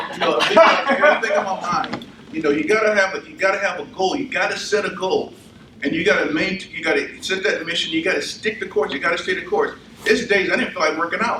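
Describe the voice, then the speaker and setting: Very fast and lively in intonation, a man projects a raised voice at a high pitch. Audible room echo and noticeable background noise surround him. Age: 60s. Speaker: army veteran and fitness speaker. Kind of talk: motivational talk; audience Q&A. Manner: animated.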